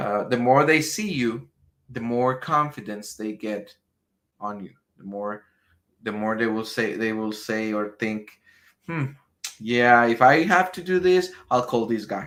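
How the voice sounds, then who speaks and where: A man with a Spanish accent at a medium pitch, slow-paced, with lively intonation, big swings in loudness and long, frequent pauses, in a very clean recording with a silent background. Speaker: business marketing trainer. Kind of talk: live stream training. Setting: live stream. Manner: halting, many repetitions.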